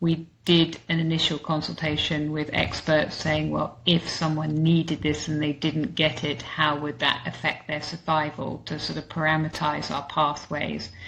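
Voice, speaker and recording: Speaking at a moderate pace with hardly any pauses, a woman uses a very deep, low pitch and a monotone, flat intonation. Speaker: health economics researcher, webinar speaker. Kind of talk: webinar Q&A answer. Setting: online webinar. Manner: hesitant, many fillers.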